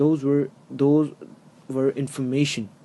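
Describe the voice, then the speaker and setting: A man with a non-native accent speaks at a fairly slow pace. His pitch is fairly high. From outside the US, another country. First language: not English. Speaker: hip-hop commentary YouTuber. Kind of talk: opinion monologue. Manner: halting, many fillers.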